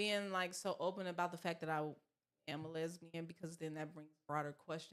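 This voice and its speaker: Intonation stays monotone and flat in this voice with an American accent. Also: woman, fairly low pitch for a woman, fairly quick pace. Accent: southern accent when comfortable. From US South. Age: 30s. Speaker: model and actress. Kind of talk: casual chat.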